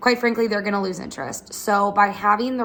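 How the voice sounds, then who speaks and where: This is a woman's voice. Her pitch sits in the middle range. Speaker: chiropractor. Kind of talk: tutorial. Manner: fast.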